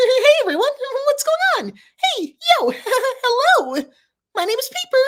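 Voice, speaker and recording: Someone puts on a squeaky character voice at an extremely high pitch. The speech moves at a moderate pace with long, frequent pauses. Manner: friendly, greeting.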